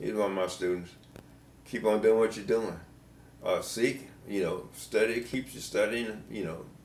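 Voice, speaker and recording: A man with an American accent speaks at a moderate pace with ordinary pitch variation. Long, frequent pauses break up his speech, and there is audible room echo. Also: medium pitch for a man. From US South. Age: 80s+. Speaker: retired band director. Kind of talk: interview. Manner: halting.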